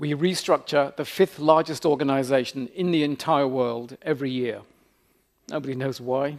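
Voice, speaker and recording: A man speaks with a British accent. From Britain. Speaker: leadership professor. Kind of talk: keynote lecture. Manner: fast; humorous deadpan asides.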